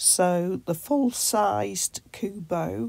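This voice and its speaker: The woman's voice is medium in pitch with a dark, mellow tone. It moves through very wide pitch swings. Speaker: tech reviewer. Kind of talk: video review.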